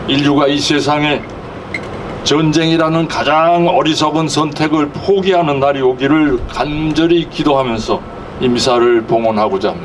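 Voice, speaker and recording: A man's fairly high voice with ordinary pitch variation, amid noticeable background noise and audible room echo. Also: moderate pace. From South Korea. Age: 80s+. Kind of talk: sermon. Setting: outdoors.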